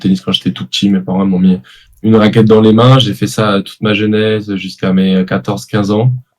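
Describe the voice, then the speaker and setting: Here a man with an unremarkable speaking voice talks fairly quickly at a fairly low pitch with ordinary pitch variation. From southern France (Aix-en-Provence). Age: 20s. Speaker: professional padel player. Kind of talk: interview.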